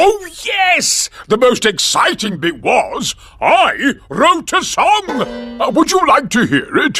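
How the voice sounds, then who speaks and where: A man performs a cartoonish character voice at a fairly slow pace as faint music plays in the background. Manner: booming, boastful.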